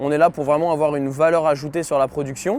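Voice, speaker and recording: With fairly even intonation, this man speaks at a fairly quick pace. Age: 20s. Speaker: mechanical engineer. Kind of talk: corporate testimony interview. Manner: hesitant, many filler sounds.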